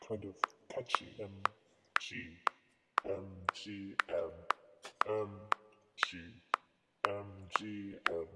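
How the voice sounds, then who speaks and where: In a cartoonish character voice, the speaker talks low and fairly slowly, pausing long and often, with a slight echo. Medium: puppet show. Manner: sing-song.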